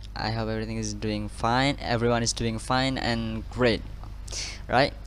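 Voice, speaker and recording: A man speaks at a medium speed, and the room around him adds an audible echo. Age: 20s. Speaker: university student. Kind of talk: class presentation. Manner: halting.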